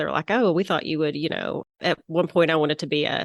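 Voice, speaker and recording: Very fast speech comes from a woman with a Southern US accent. The recording is dry and close with no echo, over a quiet background. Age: 40s. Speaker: interior designer, former physician. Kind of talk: interview.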